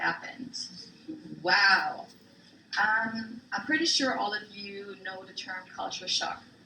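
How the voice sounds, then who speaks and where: A woman speaks at a medium pitch. Audible room echo surrounds her voice. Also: long, frequent pauses, big swings in loudness. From Germany, Frankfurt (early childhood in Thailand). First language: German. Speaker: military spouse, guest presenter. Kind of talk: class presentation. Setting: classroom with students.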